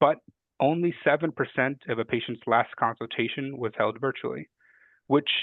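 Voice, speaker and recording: A man speaks at a medium pitch. His pitch varies in an ordinary way. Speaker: health policy analyst. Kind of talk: webinar presentation. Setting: webinar. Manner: fast.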